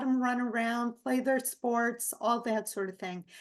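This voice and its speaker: A fairly slow delivery with ordinary pitch variation over a quiet background. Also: woman. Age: 60s. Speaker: nutrition psychotherapist. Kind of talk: interview. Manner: frequent filler words.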